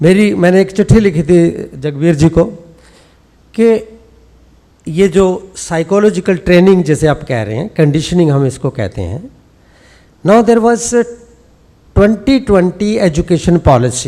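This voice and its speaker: Taking long, frequent pauses, a man speaks at a fairly slow pace in a high pitch with lively intonation. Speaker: sports scientist and former coach. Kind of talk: conference speech.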